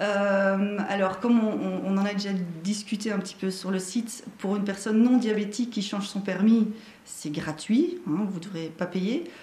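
At a moderate pace and medium pitch, a woman speaks with ordinary pitch variation amid noticeable background noise and audible room echo. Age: 40s. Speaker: driving instructor. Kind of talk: live-stream interview. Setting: Facebook live stream.

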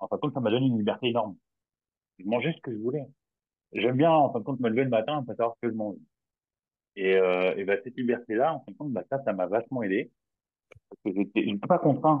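Talking very fast yet with long, frequent pauses, a man shows ordinary pitch variation. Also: medium pitch for a man. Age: 40s. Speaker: client testimonial, railway worker. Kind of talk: testimony.

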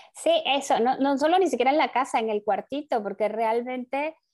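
A woman's high-pitched voice comes through in a very clean recording with a silent background. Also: dry, close sound with no echo. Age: 40s. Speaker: podcast co-host. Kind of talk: casual chat.

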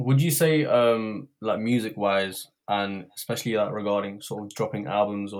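On a very clean recording with a silent background, a man talks at a moderate pace and a fairly low pitch in a normal speaking voice. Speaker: podcast co-host. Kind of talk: casual chat.

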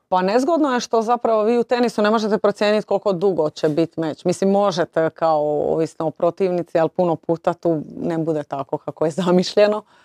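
Recorded dry and close with no echo, a woman speaks with hardly any pauses in a dark, mellow tone and ordinary pitch variation. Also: medium pitch for a woman, fairly quick pace. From Croatia, Split (Dalmatia). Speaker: former tennis player, sports director. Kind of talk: interview.

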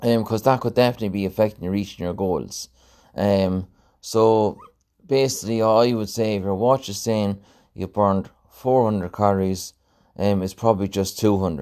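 In an Irish Midlands accent, a man talks with a fairly low pitch and fairly even intonation on a very clean recording with a silent background. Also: moderate pace. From Ireland, County Laois. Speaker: fitness coach and podcast host. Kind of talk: solo podcast monologue. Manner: casual with frequent fillers.

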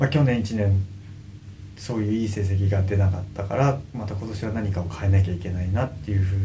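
The audio carries an audible room echo, with music in the background. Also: man. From Kanagawa, Japan (Kugenuma, Fujisawa). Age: 30s. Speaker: professional surfer. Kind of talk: interview. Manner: casual.

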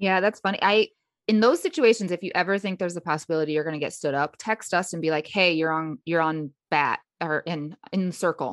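A woman's fairly low voice, a plain, everyday voice, at a fairly quick pace with a dry, close sound, no echo and a quiet background. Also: ordinary pitch variation. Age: 30s. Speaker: podcast co-host. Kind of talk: casual chat.

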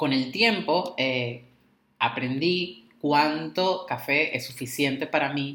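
Very slowly, a man speaks in a bright, sharp tone. His pitch is fairly high with ordinary variation. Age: 20s. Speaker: podcast co-host, tarot and astrology practitioner. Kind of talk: casual chat. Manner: halting, repeats words.

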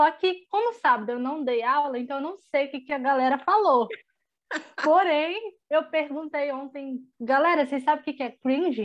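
A woman speaks at a fairly slow pace with lively intonation. Her pitch is high. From Espírito Santo, Brazil. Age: 20s. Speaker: young church member. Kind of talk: casual chat.

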